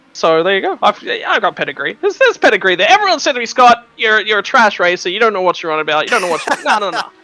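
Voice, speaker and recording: In a raised, projected voice with an Australian accent, a man speaks at a very fast pace with hardly any pauses, using a high pitch, a bright, sharp tone, and very wide pitch swings. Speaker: esports racing commentator. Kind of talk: live commentary.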